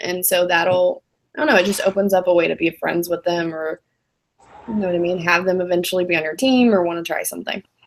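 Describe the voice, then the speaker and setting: A woman talks at a fairly quick pace and medium pitch, with ordinary pitch variation. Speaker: social media business trainer. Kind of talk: online training session. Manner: fast when nervous; casual, lots of filler words.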